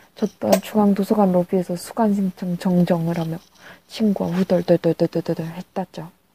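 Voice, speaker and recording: A woman speaks at a medium pitch with a somewhat breathy, dark, mellow tone. The sound is dry and close, with no echo. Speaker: university student hosting a class radio-style segment. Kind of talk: reading aloud letters in radio style. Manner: playful.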